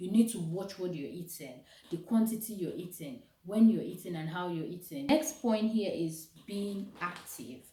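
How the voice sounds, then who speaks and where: In a room with audible echo, a woman at medium pitch speaks at a moderate pace with lively intonation and big swings in loudness, her voice somewhat breathy with a dark, mellow tone. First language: not English. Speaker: vlogger. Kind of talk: motivational vlog talk. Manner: casual, conversational.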